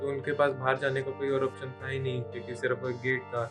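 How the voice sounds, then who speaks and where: A man's voice at a medium pitch comes through with music in the background. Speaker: YouTube horror storyteller. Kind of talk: haunted legend narration.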